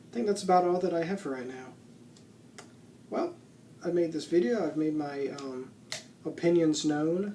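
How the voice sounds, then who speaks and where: A soft-spoken man talks at a high pitch and a moderate pace, with ordinary pitch variation. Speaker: YouTuber, TV show commentator. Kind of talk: casual vlog commentary.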